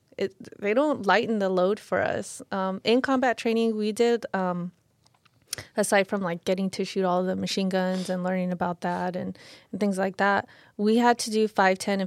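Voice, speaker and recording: A woman with an American accent talks in a normal speaking voice at a medium pitch and moderate pace, with fairly even intonation. The recording is very clean, with a silent background and a dry, close sound with no echo. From California, Lynwood. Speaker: Marine veteran and fitness influencer. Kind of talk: casual chat.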